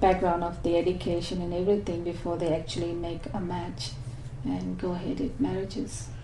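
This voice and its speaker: Audible room echo surrounds a woman's dark, mellow voice. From Malaysia. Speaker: migrant interviewee. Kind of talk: oral history interview. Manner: hesitant, many fillers.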